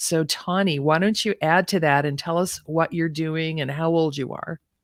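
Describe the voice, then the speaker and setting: A woman with a plain, everyday voice talks at a fairly low pitch and a moderate pace, her intonation fairly even. The recording is very clean, with a silent background. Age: 60s. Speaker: podcast host and retirement coach. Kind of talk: interview. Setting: live stream.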